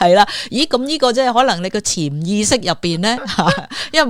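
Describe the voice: A woman's intonation is lively, and she keeps a moderate pace.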